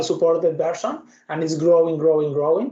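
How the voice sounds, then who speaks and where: With an Argentine accent, a man speaks in a high pitch and a dark, mellow tone, his intonation fairly even. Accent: non-Canadian accent, from Argentina. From Argentina. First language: Spanish. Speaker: software developer and tech speaker. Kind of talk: technical talk with live demo. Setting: video call webinar with screen share.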